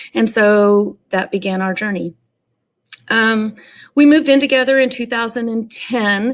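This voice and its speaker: In a Texan accent, a woman speaks fairly slowly at a fairly high pitch, with ordinary pitch variation and long, frequent pauses. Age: 40s. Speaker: stepmom support vlogger and teacher. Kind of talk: personal story monologue. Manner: casual, many filler ums.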